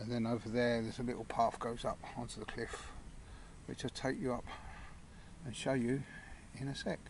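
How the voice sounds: A man's medium-pitched voice at a moderate pace, with fairly even intonation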